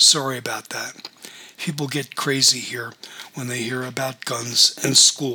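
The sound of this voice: This is an unforced reading voice. It carries an unforced reading voice throughout.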